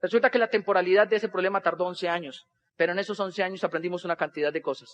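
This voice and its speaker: A man's voice at a very fast pace with fairly even intonation. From Colombia, Boyacá. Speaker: motivational speaker, network marketer. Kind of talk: motivational talk on stage. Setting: stage with audience.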